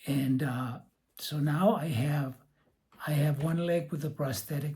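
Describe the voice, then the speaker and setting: The man's pitch sits fairly high, and his tone is dark, mellow and somewhat breathy. He talks at a fairly slow pace. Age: 70s. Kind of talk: casual talk to camera.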